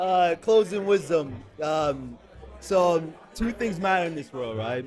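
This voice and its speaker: Against noticeable background noise, a man talks at a fairly slow pace with a high pitch and lively intonation. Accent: American. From Jamaica. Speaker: recruiter. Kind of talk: casual chat. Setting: live event at a gala.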